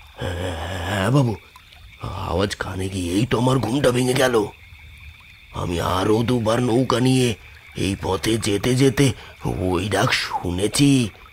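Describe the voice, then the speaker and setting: A put-on character voice speaks at a fairly slow pace. Background noise is clearly audible. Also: man, fairly low pitch for a man. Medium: audio drama. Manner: deferential, calls the passengers babu.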